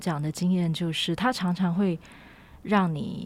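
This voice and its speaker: In a Taiwanese accent, the speaker keeps a moderate pace and fairly even intonation on a very clean recording with a silent background. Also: woman. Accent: Taiwanese Mandarin. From Taiwan, Taipei (Wugu/Luzhou area). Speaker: writer and designer. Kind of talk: interview conversation. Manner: halting.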